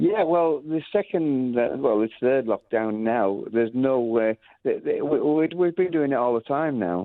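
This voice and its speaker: A man with a Lancashire accent and a medium pitch talks at a fairly slow pace, with lively intonation, very even loudness and hardly any pauses. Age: 70s. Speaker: music school founder. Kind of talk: radio interview. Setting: radio show. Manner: halting, many fillers and restarts.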